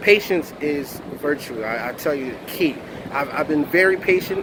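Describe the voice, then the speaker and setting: A man with an American accent speaks at a moderate pace in a fairly high pitch. Noticeable background noise runs under the recording. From Philadelphia, US. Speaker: motivational speaker. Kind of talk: motivational vlog monologue. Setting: outdoors near a parking lot in Miami.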